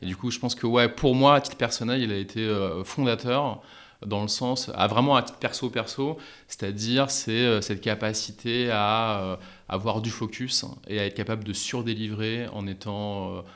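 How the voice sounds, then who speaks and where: Fairly low in pitch and fairly even in intonation, a man speaks at a fairly slow pace on a very clean recording with a silent background. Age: 40s. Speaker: entrepreneur. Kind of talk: interview. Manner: hesitant with fillers.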